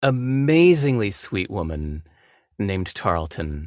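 A man speaks with an American accent at a fairly low pitch, his voice making very wide pitch swings. The recording is very clean, with a silent background. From California. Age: 50s. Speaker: author. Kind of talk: casual chat.

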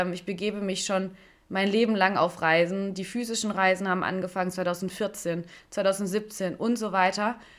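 A woman's unremarkable speaking voice at medium pitch, fairly even in intonation, at a moderate pace. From Stuttgart, Swabia (southwest Germany). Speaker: podcast host and life coach. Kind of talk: solo podcast monologue.

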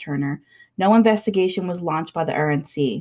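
Over a silent background in a very clean recording, a woman talks in a normal speaking voice at a fairly quick pace with ordinary pitch variation. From Labrador, Canada. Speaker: podcast co-host. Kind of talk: true crime narration.

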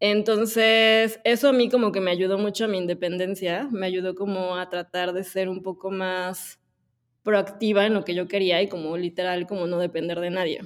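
A woman talks in an ordinary speaking voice at a moderate pace, her pitch medium and her intonation fairly even. The recording is very clean with a silent background. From Mexico (Puebla). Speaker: agency co-founder and director. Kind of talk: interview.

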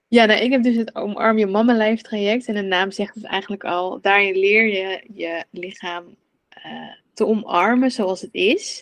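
A normal speaking voice from a woman, medium-pitched, fairly slow and fairly even in intonation. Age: 30s. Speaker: coach for mothers on relationship with food. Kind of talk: casual interview chat.

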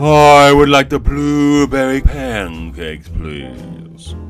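Using a put-on character voice, a man speaks at a medium pitch and a very slow pace with very wide pitch swings over clear music in the background. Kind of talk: posh. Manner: high and mighty.

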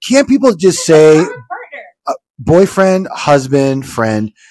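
Animated in tone, a man speaks with very wide pitch swings. His pitch sits fairly high. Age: 50s. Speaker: podcast co-host, lawyer. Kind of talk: casual chat.

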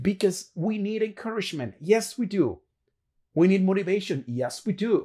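This man has a high pitch and a Spanish accent. The recording is very clean, with a silent background. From Dominican Republic. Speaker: motivational podcaster. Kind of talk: motivational monologue. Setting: solo video recording.

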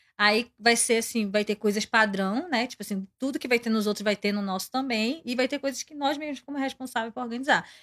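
Speaking in a normal speaking voice, a woman talks at a fairly quick pace with hardly any pauses, her pitch fairly high with ordinary variation, on a very clean recording with a silent background and a dry, close sound with no echo. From Pará, Brazil. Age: 20s. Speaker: K-pop fan club member. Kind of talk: casual interview chat.

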